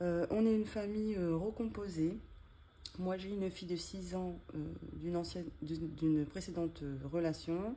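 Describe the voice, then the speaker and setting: A woman's fairly low, dark, mellow voice at a moderate pace, with fairly even intonation. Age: 30s. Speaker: budget vlogger. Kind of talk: casual vlog tutorial. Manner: halting, many hesitations.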